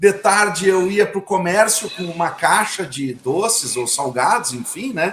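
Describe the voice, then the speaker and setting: A man is speaking. His pace is very slow. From southern Brazil, Caxias do Sul. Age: 50s. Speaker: entrepreneur. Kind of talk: interview. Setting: live video call. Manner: halting, repeats words.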